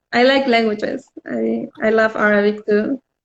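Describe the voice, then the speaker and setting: This is a woman's voice. She has a Spanish accent. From Spain. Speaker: visual artist. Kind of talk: casual interview. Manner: halting, many fillers.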